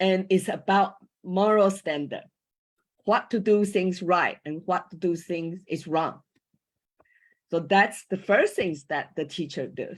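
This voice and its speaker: A woman with a Chinese accent speaks at a very slow pace, leaving long, frequent pauses. Her intonation stays fairly even, and the recording is very clean with a silent background. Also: medium pitch for a woman. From Taiwan. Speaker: former school teacher, panel speaker on coaching. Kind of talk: panel talk. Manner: halting, with hesitations.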